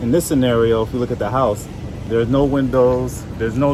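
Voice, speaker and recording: A man's medium-pitched voice with an American accent and fairly even intonation, at a fairly quick pace, with audible room echo and noticeable background noise. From New Jersey, Jamaican parents. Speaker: home inspector. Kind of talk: explanatory conversation.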